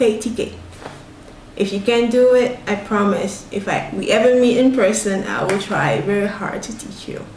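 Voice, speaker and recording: Against noticeable background noise and audible room echo, a woman speaks at a moderate pace with fairly high pitch. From Togo (Lomé), West Africa. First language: Ewe (also French). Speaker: vlogger and writer. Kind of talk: casual vlog Q&A.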